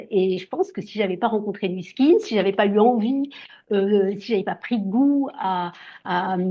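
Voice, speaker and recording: At a fairly slow pace, a woman speaks in an ordinary speaking voice with a medium pitch and ordinary pitch variation. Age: 60s. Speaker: skincare brand distributor. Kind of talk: sales pitch. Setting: video call.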